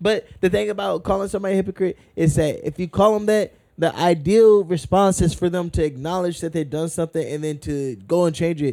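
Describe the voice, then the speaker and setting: Loud and at a fairly quick pace, a man talks with a high pitch, a dark, mellow tone, and ordinary pitch variation. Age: 20s. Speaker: podcast host. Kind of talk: casual chat.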